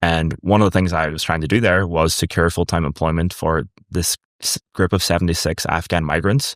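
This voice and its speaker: On a very clean recording with a silent background, a man with a very deep, low pitch talks at a fairly quick pace. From Ireland. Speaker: startup founder. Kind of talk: interview. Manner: casual, many fillers.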